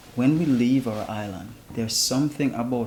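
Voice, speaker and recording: A man with a Jamaican accent talks over noticeable background noise. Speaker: founder of a traveling chef service. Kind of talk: interview.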